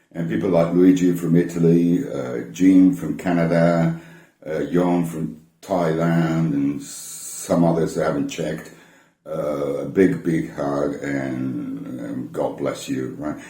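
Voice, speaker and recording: The pace is very slow, with lively intonation and a dark, mellow tone. Room echo is audible. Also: man, very deep, low pitch for a man. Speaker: vinyl collector YouTuber. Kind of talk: casual talk to camera from notes. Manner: many hesitations and repeated words; mumbles somewhat.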